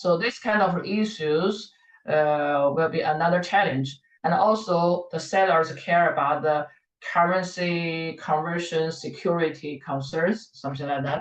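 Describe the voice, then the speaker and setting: A woman speaks fairly slowly with a Chinese accent. Her pitch is fairly low, with ordinary variation. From China. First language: Mandarin Chinese. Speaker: professor. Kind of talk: lecture. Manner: halting, many fillers and repeats.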